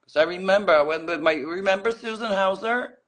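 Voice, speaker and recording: This woman's tone is animated, with vocal fry. She keeps a moderate pace. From Netherlands. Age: 60s. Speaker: former fashion model. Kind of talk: casual chat.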